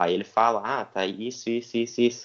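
A man speaks in a normal speaking voice at medium pitch. His intonation stays fairly even and his pace is moderate. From southern Brazil, Rio Grande do Sul (Santa Cruz do Sul). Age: 20s. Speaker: professional cyclist. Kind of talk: interview.

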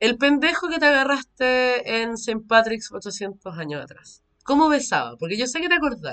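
With a Chilean accent, a woman talks at a moderate pace with hardly any pauses, her high pitch swinging very widely in a bright, sharp tone as her loudness rises and falls sharply. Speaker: podcast co-host. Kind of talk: casual chat.

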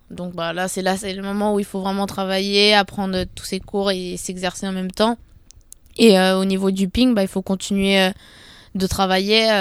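The delivery is fairly slow and monotone with flat intonation, in a very clean recording with a silent background. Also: woman, medium pitch for a woman. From Paris area, Seine-Saint-Denis. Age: young. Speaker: professional table tennis player. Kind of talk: casual interview.

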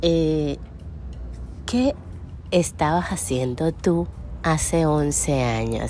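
A woman speaks with a Venezuelan accent. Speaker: podcast host, entrepreneur. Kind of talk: casual solo podcast monologue.

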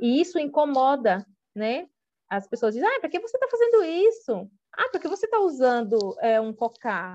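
A high-pitched woman's voice with very wide pitch swings, at a moderate pace. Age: 40s. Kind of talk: interview. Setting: remote call.

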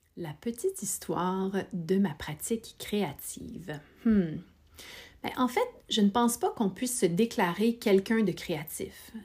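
Somewhat breathy, a woman speaks at a very slow pace. Her pitch variation is ordinary. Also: medium pitch for a woman. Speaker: podcast host. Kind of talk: scripted narration; casual chat.

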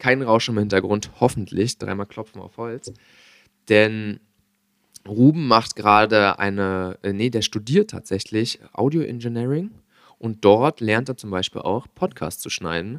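A man's fairly low voice, very cleanly recorded against a silent background, with ordinary pitch variation, a dry, close sound free of echo, a fairly slow pace and big swings in loudness. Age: young. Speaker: podcast host. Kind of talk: casual chat.

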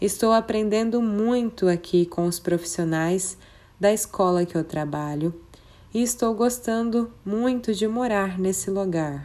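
Delivery is fairly slow. A dark, mellow tone carries ordinary pitch variation. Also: woman, medium pitch for a woman. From Brazil, Mato Grosso (Colíder). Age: 20s. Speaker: preschool teacher. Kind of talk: prepared presentation. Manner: formal.

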